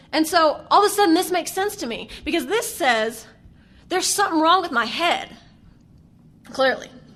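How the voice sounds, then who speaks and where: Lively and animated, a woman with a strong Southern US accent speaks at a moderate pace in a bright, sharp tone with an extremely high pitch. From US South. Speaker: AA speaker. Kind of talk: recovery testimony. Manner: animated, conversational with fillers.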